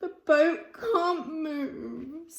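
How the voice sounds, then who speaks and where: The speaker performs a put-on character voice. The pitch is high. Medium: read story. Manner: glum, plaintive.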